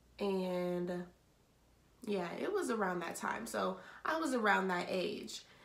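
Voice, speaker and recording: A woman's very slow speech full of long, frequent pauses, lively in intonation, with audible room echo. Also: medium pitch for a woman. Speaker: vlogger. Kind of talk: storytelling. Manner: casual.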